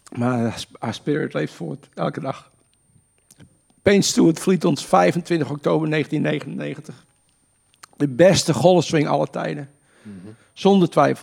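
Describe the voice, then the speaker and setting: A man speaks at a very slow pace and a fairly high pitch, with long, frequent pauses. His intonation is lively, and his loudness swings widely. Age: 60s. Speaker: golf coach and charity golfer. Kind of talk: casual interview.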